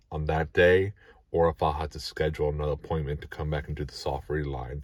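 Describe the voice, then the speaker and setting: A man talks with fairly even intonation. The recording is very clean, with a silent background. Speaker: vlogger documenting dental treatment. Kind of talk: personal video diary. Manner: slow.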